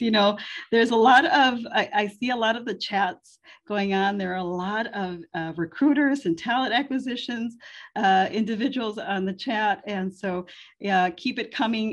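A woman speaks in an American accent at a medium pitch with ordinary pitch variation. Her pace is moderate, against a quiet background. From US Midwest. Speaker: moderator and chamber of commerce president. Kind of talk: webinar panel discussion. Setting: video call. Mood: warm, smiling. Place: home room. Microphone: video call.

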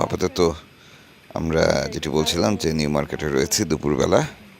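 A man with a very deep, low pitch is heard over noticeable background noise. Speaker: documentary vlogger and journalist in the Sundarbans. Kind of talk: on-location field report with casual interviews. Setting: outdoors at a fishing camp market.

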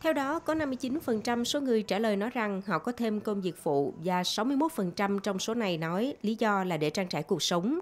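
A woman with a fairly high pitch speaks at a fairly slow pace with hardly any pauses, her pitch swinging very widely while her loudness stays very even. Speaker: news reporter. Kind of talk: news reading.

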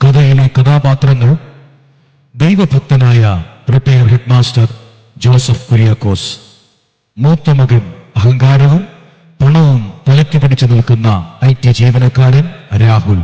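A man's medium-pitched voice at a fairly slow pace, with very even loudness. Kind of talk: formal sermon-like stage narration. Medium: stage play. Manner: measured, declamatory.

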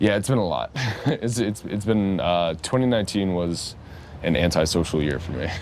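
Male voice at a fairly quick pace with ordinary pitch variation, dry with no echo, over light background noise. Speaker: interview guest. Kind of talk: interview answer. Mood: relaxed, thoughtful. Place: cafe.

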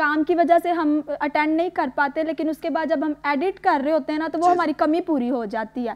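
The speech moves at a moderate pace with hardly any pauses and fairly even intonation. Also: woman, high pitch for a woman. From Peshawar, Pakistan; Pakistan. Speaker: video editor; TV guest. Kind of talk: interview. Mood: warm, earnest. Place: studio. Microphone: lapel.

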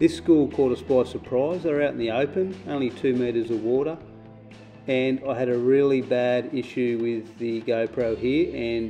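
With music in the background, a man speaks at a moderate pace and ordinary pitch variation. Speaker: spearfisher narrator. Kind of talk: casual narration.

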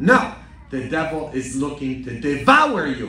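A man speaks at a fairly slow pace. Room echo is audible, along with light background noise. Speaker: priest. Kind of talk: sermon. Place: church. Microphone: podium.

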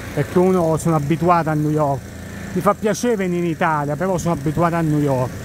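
A man's high-pitched voice at a fairly quick pace, with ordinary pitch variation, a dry sound with no echo, and noticeable background noise. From Italy. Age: 40s. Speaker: travel content creator and tour operator; travel vlogger. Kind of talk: casual walking monologue vlog. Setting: outdoors, walking at night in Times Square. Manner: conversational, rambling. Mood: relaxed, reflective. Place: street. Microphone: phone near.

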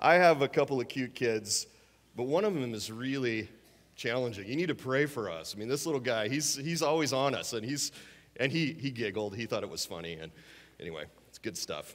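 Vocal fry runs through a man's medium-pitched voice as he talks at a fairly quick pace with lively intonation. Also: big swings in loudness. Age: 50s. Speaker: guest preacher. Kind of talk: sermon. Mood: warm, humorous storytelling. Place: church. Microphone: headset.

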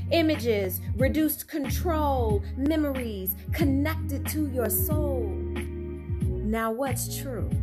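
Over loud background noise, a woman talks at a very slow pace with hardly any pauses. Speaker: spoken word poet. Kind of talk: spoken word poetry reading. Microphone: phone near.

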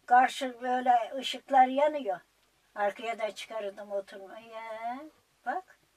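Lively intonation in a fairly high-pitched female voice. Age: 80s+. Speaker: elderly villager telling her life story. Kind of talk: interview answer, life story. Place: home room.

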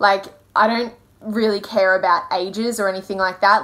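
At a moderate pace, a woman speaks with ordinary variation in her pitch. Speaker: vlogger. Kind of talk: casual vlog chat. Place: home room. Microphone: phone near.

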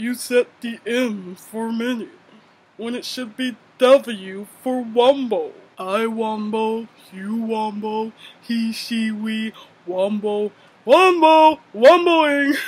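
At a very slow pace, a fairly high-pitched, put-on character voice speaks. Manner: dopey.

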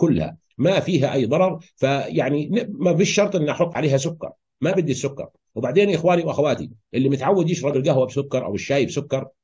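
This man's voice has a dark, mellow tone and a fairly high pitch. He moves at a fairly quick pace with ordinary pitch variation. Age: 50s. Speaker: health educator. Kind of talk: educational talk. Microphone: video call.

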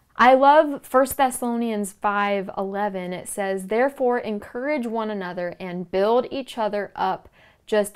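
A woman talks at a fairly slow pace with ordinary pitch variation. The background is quiet. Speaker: podcast host. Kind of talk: inspirational talk. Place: home room. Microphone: lapel.

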